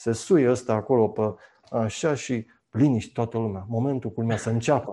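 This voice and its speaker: Over a quiet background, a man with a medium pitch speaks at a moderate pace in a dark, mellow tone with fairly even intonation. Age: 50s. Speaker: university lecturer and journalist. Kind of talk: casual chat.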